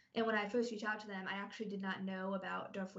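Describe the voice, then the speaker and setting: In a flat monotone, a woman speaks at medium pitch with a somewhat breathy sound and audible room echo. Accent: American. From Ohio, US Midwest. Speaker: sports program manager. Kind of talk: podcast interview.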